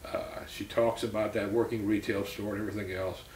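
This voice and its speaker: A fairly low-pitched man with an American accent at a fairly quick pace, audible room echo around him. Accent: South Louisiana Cajun English. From US South, Louisiana (St. Martinville). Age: 60s. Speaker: interviewee in family oral history. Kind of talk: oral history interview. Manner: conversational, many filler words.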